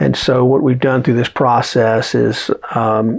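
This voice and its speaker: Here a man talks at a moderate pace with a Southern US accent. His pitch is medium and his intonation fairly even. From US South, Alabama. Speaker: trial lawyer. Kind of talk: casual talk to camera. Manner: casual, with many fillers.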